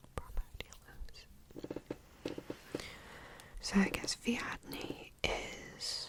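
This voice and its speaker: With long, frequent pauses, a whisper moves along very slowly against noticeable background noise. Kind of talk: ASMR whisper reading, sleep aid. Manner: whispered, soft-spoken, rambly.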